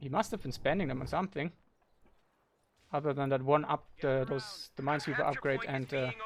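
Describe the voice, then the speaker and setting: Fairly quick speech broken by long, frequent pauses. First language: not English. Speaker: game caster. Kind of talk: live commentary. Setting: live stream.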